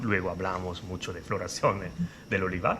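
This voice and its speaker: A man with an Italian accent speaks in a bright, sharp tone. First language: Italian (speaking Spanish). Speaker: interviewer, olive researcher. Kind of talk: interview.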